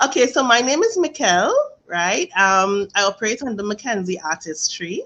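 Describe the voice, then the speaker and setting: Speaking at a moderate pace with a Trinidadian accent, a woman with a fairly high pitch and a bright, sharp tone makes very wide pitch swings. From Trinidad and Tobago. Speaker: face painter and art instructor. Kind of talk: casual interview.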